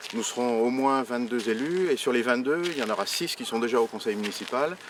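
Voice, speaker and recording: A man speaks at medium pitch and a moderate pace. His pitch varies in an ordinary way over noticeable background noise. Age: 60s. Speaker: local election candidate. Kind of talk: campaign presentation. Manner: hesitant, many fillers and repetitions.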